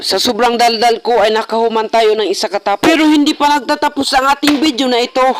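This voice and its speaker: Amid noticeable background noise, a man speaks with ordinary pitch variation. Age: young. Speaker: vlogger. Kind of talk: casual vlog narration. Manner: playful.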